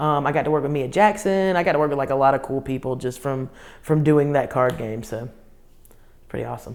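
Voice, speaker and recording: With a Southern US accent, a woman speaks fairly quickly in an animated tone, her pitch very deep and low with ordinary variation. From US South, Columbia, South Carolina. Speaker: comedian. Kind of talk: interview.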